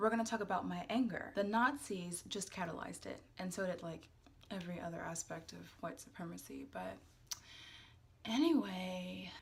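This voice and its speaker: In a room with audible echo, a woman speaks at a moderate pace. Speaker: YouTube vlogger. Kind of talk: casual vlog talk with skincare tutorial. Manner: casual, many fillers.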